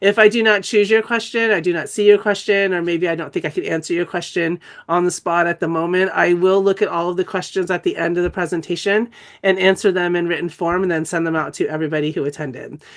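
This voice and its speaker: A woman at a very fast pace against a quiet background. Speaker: dyslexia educator and institute founder. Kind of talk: webinar lecture. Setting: online webinar. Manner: casual, with many fillers.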